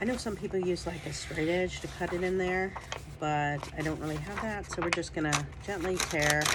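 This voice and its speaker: Behind this woman's speech there is noticeable background noise. Her fairly low voice keeps fairly even intonation at a moderate pace. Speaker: junk journal crafter. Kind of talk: casual craft process talk to camera. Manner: casual, chatty.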